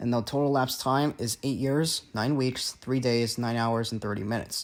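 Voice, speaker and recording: Very fast and at medium pitch, a man talks with ordinary pitch variation in a very clean recording with a silent background. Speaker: gaming YouTuber. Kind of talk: narrated video explainer. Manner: stutters.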